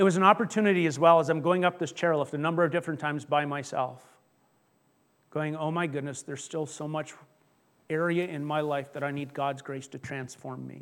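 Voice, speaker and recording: A man with an ordinary speaking voice and a fairly high pitch talks at a fairly quick pace with fairly even intonation and big swings in loudness, on a very clean recording with a silent background. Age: 50s. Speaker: pastor. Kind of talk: sermon.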